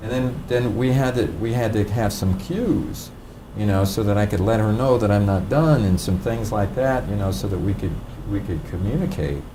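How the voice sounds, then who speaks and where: With noticeable background noise and audible room echo, a man speaks at a moderate pace in a fairly low pitch with ordinary pitch variation. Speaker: DISC behavioral styles trainer. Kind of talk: training seminar talk. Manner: pauses to think between sentences; halting, repeated words.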